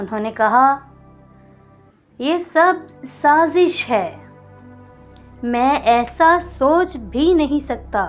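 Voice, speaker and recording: A soft-spoken woman talks with a high pitch and lively intonation. Music plays in the background. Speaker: audio novel narrator. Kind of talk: romantic audio novel reading. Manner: soft, emotional.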